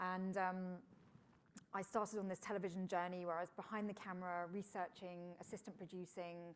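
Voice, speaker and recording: A woman speaks at a moderate pace in a British accent, her medium pitch held in a monotone, flat intonation. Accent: British, host first took it for Florida. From England. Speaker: engineer and TV presenter. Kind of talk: fireside chat interview. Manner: conversational with frequent fillers.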